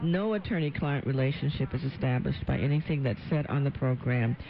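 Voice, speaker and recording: With noticeable background noise behind her, a woman talks at a fairly quick pace in a very deep, low pitch with ordinary pitch variation. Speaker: radio legal talk show host and attorney. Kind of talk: radio call-in talk show. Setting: radio studio.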